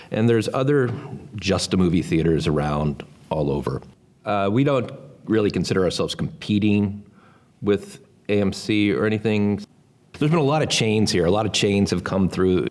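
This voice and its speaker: A man with a fairly low pitch speaks at a moderate pace with lively intonation, very even loudness, and long, frequent pauses. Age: 60s. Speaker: movie theater director. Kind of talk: documentary interview. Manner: halting, with many fillers and restarts.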